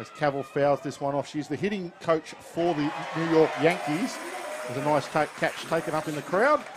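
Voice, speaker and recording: Moderate pace in an Australian accent, with noticeable background noise. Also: man, fairly high pitch for a man, ordinary pitch variation. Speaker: baseball commentator. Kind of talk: live sports commentary. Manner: fluent play-by-play, brisk and descriptive.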